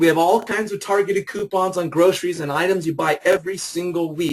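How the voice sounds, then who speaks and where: His voice is pitched high for a man. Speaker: business opportunity presenter. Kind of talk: sales pitch. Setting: webinar. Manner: fast; animated.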